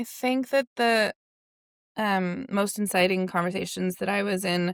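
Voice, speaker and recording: The recording is very clean, with a silent background and a dry, close sound that has no echo. A woman speaks at a fairly slow pace in an ordinary speaking voice. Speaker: climate policy researcher. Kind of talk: interview.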